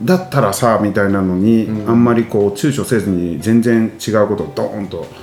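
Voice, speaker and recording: Over music in the background, a man with a fairly low pitch talks at a moderate pace with hardly any pauses. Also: ordinary pitch variation. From Nagoya, Japan. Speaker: podcast host. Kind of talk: casual interview chat.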